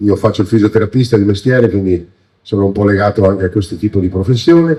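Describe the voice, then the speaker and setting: The tone is dark and mellow, somewhat breathy, with ordinary pitch variation. The pace is very fast. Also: man, fairly low pitch for a man. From Veneto, Treviso province (Motta di Livenza). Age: 60s. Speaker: local politician and candidate. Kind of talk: campaign speech. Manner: hesitant, many fillers.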